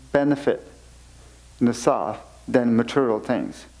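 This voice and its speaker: A man talks at a fairly slow pace with medium pitch and fairly even intonation. His tone is dark and mellow. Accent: Tibetan. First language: Tibetan. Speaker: Buddhist teacher (khenpo). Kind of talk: dharma teaching.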